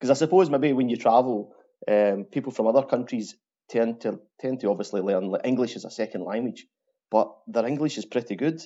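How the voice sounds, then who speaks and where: A man talks in a strong Glasgow accent. His pitch is medium with ordinary pitch variation. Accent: strong Glaswegian Scottish. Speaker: truck driver. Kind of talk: casual interview. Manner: slows down for listeners.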